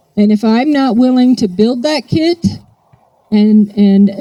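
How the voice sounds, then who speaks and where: The speaker is a woman. Her tone is dark, mellow and somewhat breathy. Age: 60s. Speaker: AA speaker. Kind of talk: recovery talk. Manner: animated.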